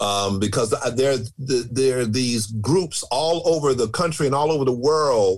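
A man's ordinary speaking voice with an American accent, at a medium pitch with ordinary pitch variation and a fairly slow pace. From Chicago, US. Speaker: storyteller. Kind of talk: interview storytelling.

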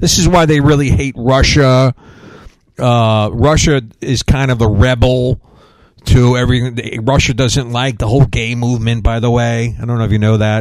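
Speaking at a moderate pace, a man uses a plain, everyday voice at medium pitch with fairly even intonation. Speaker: radio host and preacher. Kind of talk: angry rant: conspiracy-laden sermon against wokeism and a 'satanic' global system. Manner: fired-up, ranting, sarcastic, preachy; casual and joking.

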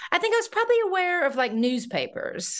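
In an American accent, a woman talks at a moderate pace with ordinary pitch variation against a quiet background. She has a plain, everyday voice. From North Carolina, US South. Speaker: journalist and film festival consultant. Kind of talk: interview.

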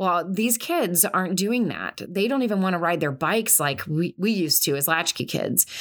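A woman with a normal speaking voice, medium pitch, ordinary pitch variation, a moderate pace and hardly any pauses. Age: 40s. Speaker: podcast host, counselor and military spouse. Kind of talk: solo podcast talk. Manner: conversational, frequent filler words.

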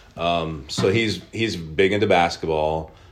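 A man with an American accent talks in a very deep, low pitch with fairly even intonation, and audible room echo surrounds his voice. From Oklahoma. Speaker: sports card shop owner. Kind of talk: interview.

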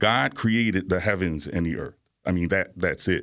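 In a fairly low pitch, a man with an American accent speaks at a moderate pace with a bright, sharp tone and ordinary pitch variation, on a very clean recording with a silent background. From New York (Bronx) and Virginia. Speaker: atmospheric science professor. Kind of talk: radio interview. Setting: radio studio.

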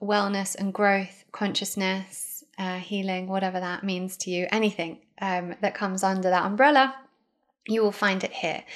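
Speaking with a British accent at a fairly slow pace, a woman uses a medium pitch in a very clean recording with a silent background. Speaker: podcast host. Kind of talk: casual chat.

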